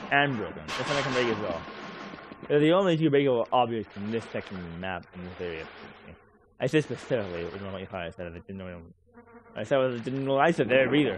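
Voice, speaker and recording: A man speaks at a very fast pace with medium pitch and very wide pitch swings. Long, frequent pauses break up his speech over noticeable background noise. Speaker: gaming streamer. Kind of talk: live gameplay commentary. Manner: slurred, sometimes unintelligible.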